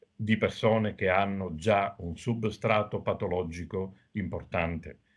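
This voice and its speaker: The speaker has a plain, everyday voice. Delivery is fairly slow with fairly even intonation. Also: man, fairly low pitch for a man. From Sicily, Agrigento. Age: middle-aged. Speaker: doctor. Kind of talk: TV interview.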